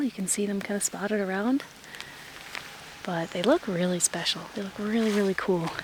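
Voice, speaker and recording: A woman talks at a medium pitch with ordinary pitch variation. Noticeable background noise is present. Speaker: travel vlogger. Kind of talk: casual vlog narration. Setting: in a car.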